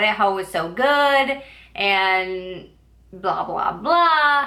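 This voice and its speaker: Audible room echo surrounds a woman speaking at a fairly high pitch. Her tone is bright and sharp, with ordinary pitch variation. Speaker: booktuber. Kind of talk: casual book review vlog. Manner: filler-heavy casual speech with likes and ums; occasional stumbling.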